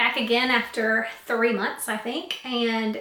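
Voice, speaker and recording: Her pitch fairly high, a woman speaks at a moderate speed with noticeable background noise around her. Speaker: cross-stitch hobbyist. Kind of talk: casual talk to camera.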